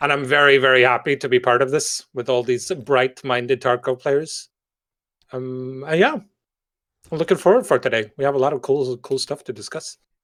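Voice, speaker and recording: A man with a Norwegian accent speaks at a moderate pace with fairly even intonation. The sound is dry and close with no echo, in a very clean recording with a silent background. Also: medium pitch for a man. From Norway. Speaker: gamer, podcast guest. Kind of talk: casual chat.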